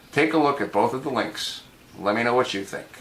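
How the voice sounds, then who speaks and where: Speaking with an American accent at a moderate pace, a man uses a medium pitch and ordinary pitch variation over noticeable background noise. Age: 70s. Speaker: political video blogger. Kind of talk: political commentary monologue. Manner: animated.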